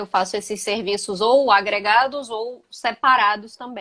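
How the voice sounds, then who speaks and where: Her pitch varying in an ordinary way, a woman speaks fairly slowly. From Brazil, Northeast (Rio Grande do Norte). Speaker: physical education teacher. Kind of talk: casual interview chat. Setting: Instagram live video.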